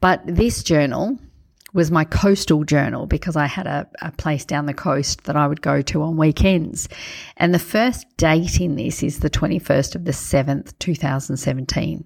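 Very deep, low-pitched woman's voice with vocal fry at a moderate pace, on a very clean recording with a silent background. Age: 50s. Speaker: podcast host and life coach. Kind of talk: solo podcast monologue. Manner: casual, chatty with hesitations.

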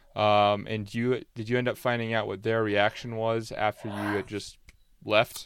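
A man with a plain, everyday voice at a medium pitch and moderate pace, on a very clean recording with a silent background. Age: 20s. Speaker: podcast host. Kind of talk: interview.

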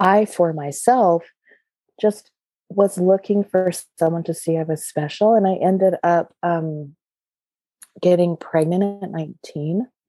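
With an American accent and a fairly low pitch, a woman speaks very slowly with fairly even intonation and long, frequent pauses, music in the background and a dry, close sound with no echo. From Utah (Provo). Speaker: drum painter and circle facilitator. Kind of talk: casual interview conversation.

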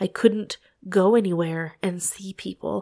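A woman's dark, mellow voice at a fairly slow pace, with a dry, close sound and no echo. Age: 30s. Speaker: podcast host. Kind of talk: personal monologue. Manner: emotional.

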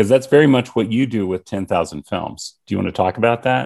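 A quiet background behind a man speaking with an American accent. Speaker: podcast host. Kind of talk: casual interview chat.

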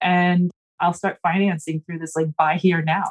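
Somewhat breathy speech with an American accent comes at a moderate pace, with a dry, close sound with no echo. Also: woman. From US South, South Carolina (near Charleston). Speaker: attorney, housing finance policy expert. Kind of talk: interview.

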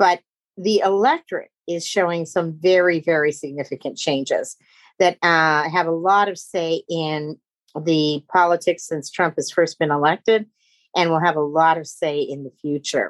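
A woman talks in a plain, everyday voice with fairly low pitch and fairly even intonation at a moderate pace. The sound is dry and close with no echo, and the background is quiet. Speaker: pollster. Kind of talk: moderated webinar discussion. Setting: video call webinar.

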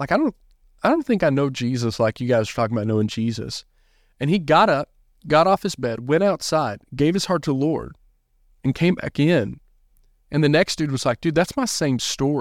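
With a Southern US accent, a man talks at a fairly quick pace in a fairly high pitch with lively intonation and long, frequent pauses, on a very clean recording with a silent background and a dry, close sound with no echo. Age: 30s. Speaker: youth pastor. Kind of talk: casual interview.

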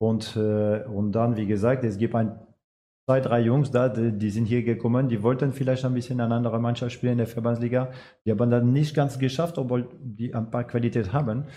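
Speaking fairly quickly with a French accent, a man uses a dark, mellow tone and fairly even intonation. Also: medium pitch for a man. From France. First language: French (speaking German). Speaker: amateur football coach. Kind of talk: casual interview.

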